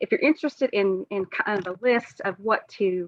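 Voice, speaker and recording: In a Southern US accent, a woman talks at a moderate pace and medium pitch, with ordinary pitch variation. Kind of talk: webinar presentation. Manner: hesitant, many fillers.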